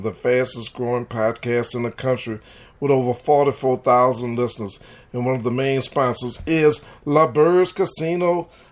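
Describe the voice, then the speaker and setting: Someone with a New Orleans accent speaks with ordinary pitch variation. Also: man. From US South, New Orleans. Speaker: sports talk radio host. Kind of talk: sports talk podcast monologue. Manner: animated.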